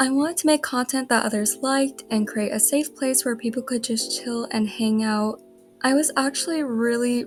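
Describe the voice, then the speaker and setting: Music in the background behind a fairly high-pitched woman at a moderate pace. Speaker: streamer and digital artist. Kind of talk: casual storytelling monologue. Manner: mellow, not very energetic; sometimes stumbles over words.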